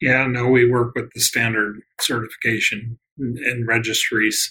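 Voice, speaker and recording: Bright and sharp in tone, a man with an American accent talks at medium pitch and a moderate pace, his intonation fairly even. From US Midwest. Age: 60s. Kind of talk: interview conversation.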